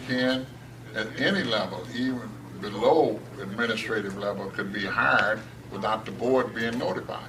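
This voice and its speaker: A medium-pitched man speaks moderately fast, his pitch varying in an ordinary way, as noticeable background noise continues. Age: 70s. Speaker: school board member. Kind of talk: hearing testimony.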